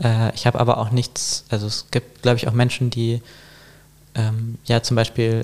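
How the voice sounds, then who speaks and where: Flat, monotone intonation runs through a man's medium-pitched speech, delivered at a moderate pace. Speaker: artist. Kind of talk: casual chat. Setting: in-person, both wearing headphones. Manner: hesitant, many fillers.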